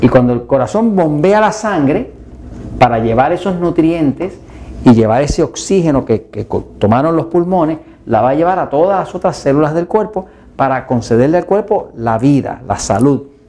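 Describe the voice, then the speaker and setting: This man has an ordinary speaking voice, fairly high in pitch, with lively intonation and a moderate pace. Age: 60s. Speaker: health educator. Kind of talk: health video talk.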